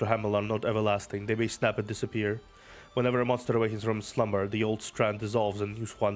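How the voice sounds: The speaker reads the text. It is a natural reading voice.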